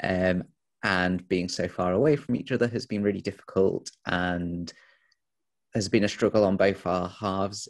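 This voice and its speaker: A man speaks with a Yorkshire accent at a fairly slow pace, his pitch very deep and low. The recording is very clean, with a silent background. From Sheffield, northern England. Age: 20s. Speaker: interviewee. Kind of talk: interview.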